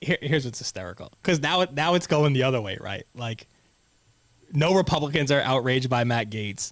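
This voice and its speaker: At a fairly quick pace, a man speaks in an animated tone at medium pitch with lively intonation. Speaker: talk show host. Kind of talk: casual chat. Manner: loud.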